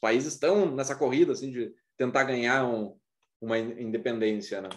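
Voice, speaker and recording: A man with a southern Brazilian accent talks at a moderate pace against a quiet background. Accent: southern Brazilian (gaúcho) Portuguese. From Rio Grande do Sul, Brazil. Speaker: aerospace engineering professor. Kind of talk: lecture. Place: home room. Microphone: webcam.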